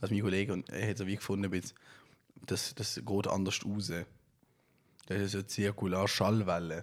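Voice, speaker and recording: Fairly low in pitch, a man talks at a fairly quick pace with fairly even intonation and long, frequent pauses. The recording is very clean, with a silent background. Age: 20s. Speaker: podcast host and musician. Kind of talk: casual chat. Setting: at home, on sofa.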